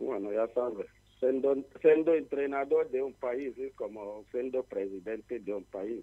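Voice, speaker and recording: Against a quiet background, a man talks at a fairly slow pace with medium pitch and ordinary pitch variation. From Nigeria. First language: not Spanish (speaking Spanish). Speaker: football coach. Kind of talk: phone interview. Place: studio.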